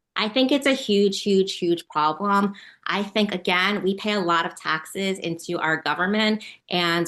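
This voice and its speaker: A woman speaks in a bright, sharp tone at a medium pitch with ordinary pitch variation and an American accent. The background is quiet. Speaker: political candidate. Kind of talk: interview. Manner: fast.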